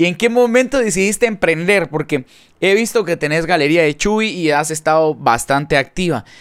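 The speaker uses an animated tone and lively intonation at a moderate pace. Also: man, high pitch for a man. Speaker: podcast host and musician. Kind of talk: casual interview.

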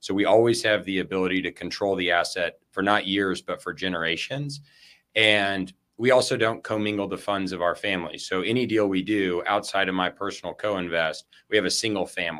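On a very clean recording with a silent background, a man speaks with a bright, sharp tone, a fairly low pitch and a fairly quick pace. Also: fairly even intonation. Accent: American. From West Texas, El Paso. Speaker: real estate investment firm founder. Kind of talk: interview conversation.

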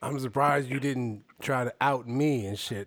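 A man with an ordinary speaking voice talks at a medium pitch and with fairly even intonation. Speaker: podcast host. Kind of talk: casual chat.

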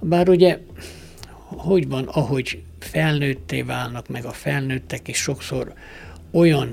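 A man speaks at a very slow pace. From Romania, Partium (Székelyhíd, Bihor). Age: 70s. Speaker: archer and honorary citizen. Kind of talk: radio interview. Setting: studio.

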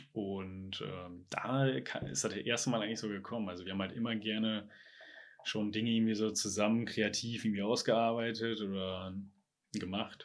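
Recorded very cleanly against a silent background, a man with a plain, everyday voice speaks at a moderate pace and fairly low pitch, with ordinary pitch variation. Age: 20s. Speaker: software company founder. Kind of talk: interview.

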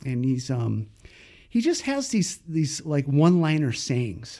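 An ordinary speaking voice from a man, fairly high in pitch with lively intonation and a fairly slow pace, on a very clean recording with a silent background. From Northern California (Paradise). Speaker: fly fishing guide. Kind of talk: casual interview.

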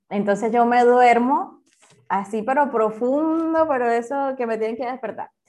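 A woman's high-pitched voice moves fairly slowly, with pitch that varies in an ordinary way. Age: 30s. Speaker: engineer and educator, author. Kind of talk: interview testimony. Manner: halting, many fillers.

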